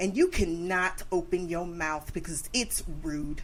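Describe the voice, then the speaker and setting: A woman speaks loudly with very wide pitch swings. Her tone is animated. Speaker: podcast host. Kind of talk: casual chat.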